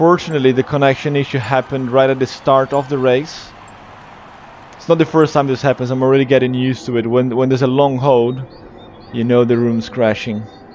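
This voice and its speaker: With a slight British accent, a man at a medium pitch talks at a fairly quick pace in a monotone, flat intonation over noticeable background noise. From Brazil. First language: Portuguese. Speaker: esports race commentator and streamer. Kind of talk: live race commentary and chat with viewers. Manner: casual, hesitant with fillers.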